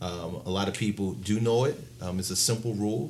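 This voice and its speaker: A man's fairly low voice with an American accent and ordinary pitch variation, in audible room echo. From Baltimore, Maryland. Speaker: financial consultant. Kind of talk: interview.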